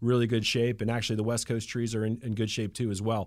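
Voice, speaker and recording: A man talks very fast in a flat monotone, recorded very cleanly against a silent background. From Atlanta, Georgia. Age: 40s. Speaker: Christmas tree business owner. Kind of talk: radio interview. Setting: radio studio.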